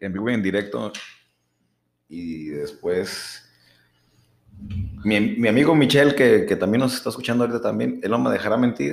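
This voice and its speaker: A man's fairly low voice with vocal fry, very wide pitch swings, a moderate pace, and long, frequent pauses. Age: 30s. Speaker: podcast co-host. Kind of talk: casual chat. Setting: studio.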